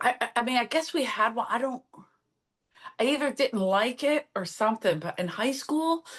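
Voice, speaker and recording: With an American accent, a high-pitched woman talks at a moderate pace with lively intonation and long, frequent pauses. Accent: Philadelphia accent, once thick. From US Northeast, South Philadelphia. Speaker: comedian. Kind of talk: casual chat.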